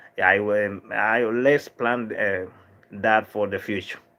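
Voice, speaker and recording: The voice comes in a Dominican accent with a bright, sharp tone. It moves at a fairly slow pace. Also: man. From Dominican Republic. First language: Spanish. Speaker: livestream vlogger. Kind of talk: casual livestream chat reading viewer comments. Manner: halting, many fillers and restarts.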